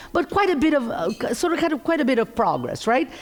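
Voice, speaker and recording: The pitch swings very widely over noticeable background noise. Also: woman. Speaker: economist. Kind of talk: keynote presentation. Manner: loud; animated.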